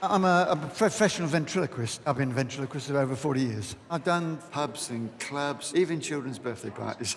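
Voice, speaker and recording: A man talks fairly quickly with hardly any pauses, noticeable background noise underneath. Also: fairly high pitch for a man, lively intonation. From England, Devon. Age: 60s. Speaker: ventriloquist. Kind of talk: audition interview.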